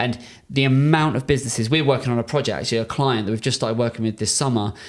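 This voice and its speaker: A very fast voice in a British accent with ordinary pitch variation, on a very clean recording with a silent background. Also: man, medium pitch for a man. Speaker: podcast host, marketing agency owner. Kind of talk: business consultation podcast. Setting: in person studio.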